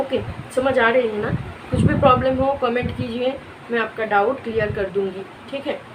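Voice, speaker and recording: A woman speaks at a moderate pace with a Bengali accent, her pitch fairly high and her intonation fairly even. Room echo is audible, and background noise is noticeable. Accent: Bengali-accented Hindi. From West Bengal, India. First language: Bengali (speaking Hindi). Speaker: art teacher on video channel. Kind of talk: tutorial. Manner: casual, conversational.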